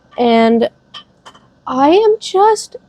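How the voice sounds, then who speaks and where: A woman's high-pitched voice. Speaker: book vlogger. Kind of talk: casual vlog chat. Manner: animated.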